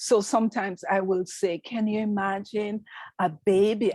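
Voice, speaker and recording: The speaker has a strong Jamaican accent and moves at a fairly slow pace. The sound is dry and close with no echo, on a very clean recording over a silent background. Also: woman. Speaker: nurse practitioner. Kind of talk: interview.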